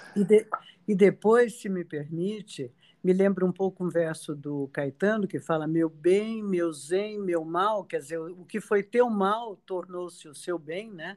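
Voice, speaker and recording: A woman in a plain, everyday voice speaks at a medium pitch and a fairly slow pace, with ordinary pitch variation and big swings in loudness. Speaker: podcast host. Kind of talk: interview conversation.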